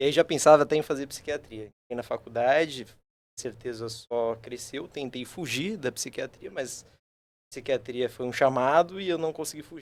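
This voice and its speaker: A man talks with a slight São Paulo accent, his volume rising and falling sharply. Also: fairly high pitch for a man, ordinary pitch variation, moderate pace. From São Paulo state, Brazil. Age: 20s. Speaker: psychiatry resident. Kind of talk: casual podcast chat.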